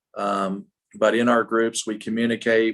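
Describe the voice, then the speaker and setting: A man speaks at a moderate pace and a medium pitch in an ordinary speaking voice. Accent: American. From United States. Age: 60s. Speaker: business leadership trainer. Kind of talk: workshop talk. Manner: casual, many fillers.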